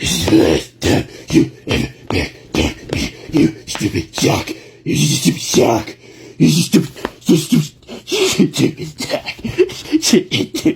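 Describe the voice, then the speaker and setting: Using a put-on character voice, a man speaks at a moderate pace with long, frequent pauses. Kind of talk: comedy skit. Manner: erratic, yelling.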